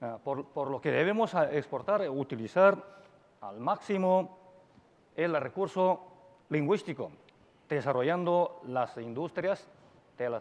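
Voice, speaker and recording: Lively intonation in a Chinese accent at a fairly slow pace. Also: man. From China. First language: Chinese (speaking Spanish). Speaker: university dean, Hispanist. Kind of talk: conference talk. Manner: halting, many fillers.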